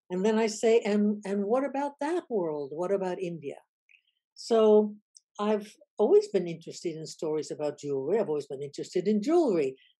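With a dark, mellow tone and an American accent, a woman talks at a fairly quick pace, her pitch swinging very widely over a quiet background. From United States. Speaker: professor. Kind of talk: interview. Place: home room. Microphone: webcam.

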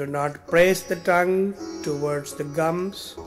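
Background music plays throughout. The talking unfolds very slowly. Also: man. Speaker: meditation guide. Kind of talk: guided meditation. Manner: slow, soft-spoken.

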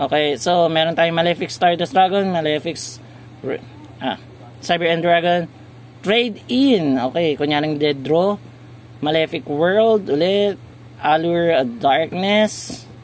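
Fairly slow and lively in intonation, a man's fairly high voice comes with long, frequent pauses, a dry sound with no echo and light background noise. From Philippines. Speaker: YouTuber, card game reviewer; toy channel host. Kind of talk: casual product review video. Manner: halting, with fillers. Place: shop. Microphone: phone near.

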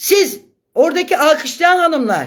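With lively intonation and an extremely high pitch, a woman talks at a fairly slow pace. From Turkey, Gelibolu. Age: 50s. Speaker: social media live streamer and local activist. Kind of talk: live stream monologue. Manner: animated.

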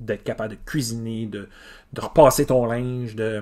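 A man is speaking. The background is quiet. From Quebec, Îles-de-la-Madeleine; Quebec. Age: 40s. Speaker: teacher. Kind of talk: casual video monologue. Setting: home garage. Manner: hesitant, many fillers. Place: garage. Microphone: phone near.

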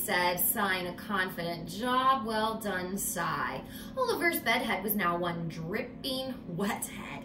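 An unforced reading voice carries the text.

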